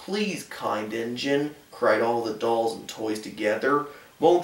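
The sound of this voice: Lively intonation from an unforced reading voice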